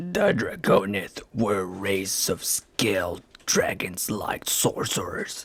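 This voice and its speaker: Someone puts on a raspy character voice and talks at a fairly slow pace. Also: man, fairly low pitch for a man. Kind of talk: reading of an ancient text passage. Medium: read story.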